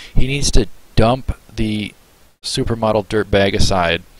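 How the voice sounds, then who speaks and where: Fairly even in intonation, a man speaks on a dry recording with no echo. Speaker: reaction streamer. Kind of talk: casual reaction commentary. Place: home room. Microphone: headset.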